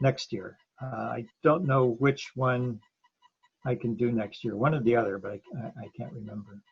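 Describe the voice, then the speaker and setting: A man with an American accent speaks at a moderate pace and a medium pitch. His voice is somewhat breathy, with ordinary pitch variation. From Ohio, USA. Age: 70s. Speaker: marathon and ultra runner. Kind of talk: podcast interview answer.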